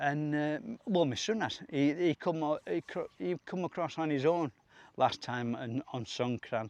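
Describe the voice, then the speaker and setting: A man with a Yorkshire accent speaks at a fairly slow pace in a fairly high voice, his intonation lively and the sound dry and close with no echo. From Yorkshire, northern England. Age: 60s. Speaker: vlogger. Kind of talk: casual vlog monologue. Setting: outdoors. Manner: halting.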